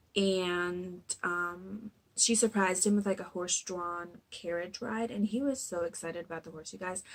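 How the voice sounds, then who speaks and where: In a very clean recording with a silent background, a woman with an ordinary speaking voice at medium pitch talks at a moderate pace with hardly any pauses and big swings in loudness. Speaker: youtuber recapping reality TV. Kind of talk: casual recap vlog. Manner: filler-heavy, with many ums.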